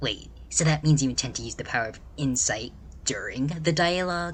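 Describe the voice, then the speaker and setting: Against clear background noise, a man puts on a character voice and speaks at a moderate pace. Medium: game stream.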